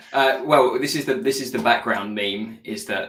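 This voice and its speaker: Bright and sharp in tone, a man talks with lively intonation in a British accent. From UK. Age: 20s. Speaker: graphic designer. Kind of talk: casual chat.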